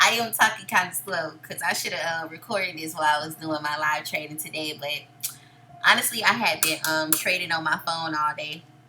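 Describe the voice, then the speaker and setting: Against noticeable background noise, a woman with a very deep, low pitch talks at a fairly quick pace, with big swings in loudness. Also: ordinary pitch variation. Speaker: day trader and trading educator. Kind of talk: screen-share trade recap tutorial. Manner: casual.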